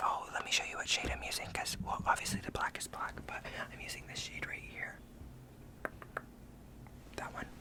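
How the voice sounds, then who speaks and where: Over noticeable background noise, a man whispers at a fairly quick pace, with long, frequent pauses. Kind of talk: casual talk to camera. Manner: soft-spoken, whispered.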